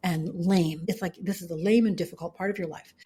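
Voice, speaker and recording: A woman's very fast, somewhat breathy delivery with a dark, mellow tone. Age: 50s. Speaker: author and business founder. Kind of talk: podcast interview.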